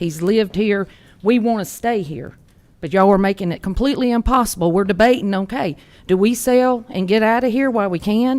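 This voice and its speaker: The speaker has a Georgia accent. The pitch variation is ordinary. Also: woman, medium pitch for a woman, fairly quick pace. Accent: US Southern (Georgia). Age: 60s. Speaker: resident speaking at public comment. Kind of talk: public comment at county meeting. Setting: county commission meeting.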